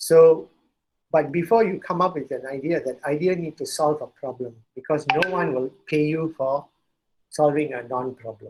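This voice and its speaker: A man speaks in a normal speaking voice, pitched fairly high for a man. His pace is moderate and his pitch variation ordinary. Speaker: entrepreneur and startup speaker. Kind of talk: lecture.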